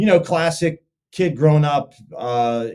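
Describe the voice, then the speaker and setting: A man with a Pittsburgh accent speaks with ordinary pitch variation. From western Pennsylvania, near Pittsburgh. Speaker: sports betting content creator. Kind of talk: podcast interview. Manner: animated, casual.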